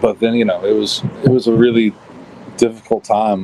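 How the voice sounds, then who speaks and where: Over noticeable background noise, a man talks at a medium pitch and a fairly slow pace. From Kentucky (Elizabethtown). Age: 40s. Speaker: musician. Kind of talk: interview conversation. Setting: podcast interview. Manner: halting, with many repetitions.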